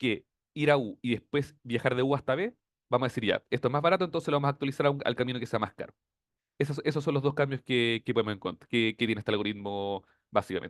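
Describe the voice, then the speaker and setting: A man with a Chilean accent at a very fast pace, with ordinary pitch variation. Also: medium pitch for a man. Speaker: teaching assistant. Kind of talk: tutorial.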